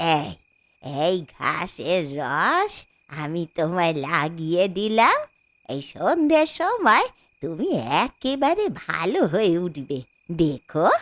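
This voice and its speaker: Using a put-on character voice, a woman talks at a very slow pace with a fairly low pitch and lively intonation. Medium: audio drama. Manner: repetitive, anxious.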